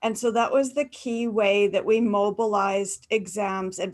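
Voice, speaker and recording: In a Canadian accent, a woman with an unremarkable speaking voice talks at a medium pitch and moderate pace with fairly even intonation. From Canada, rural farming area. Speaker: university academic presenter. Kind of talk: webinar panel answer. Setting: video call.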